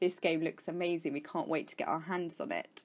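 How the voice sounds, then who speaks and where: A woman speaks at medium pitch with an English accent and a fairly quick pace. The recording is very clean, with a silent background. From England, Kent. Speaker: gaming YouTuber. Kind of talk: casual vlog Q&A.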